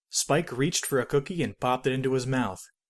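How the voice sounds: A man at medium pitch speaks at a moderate pace with ordinary pitch variation.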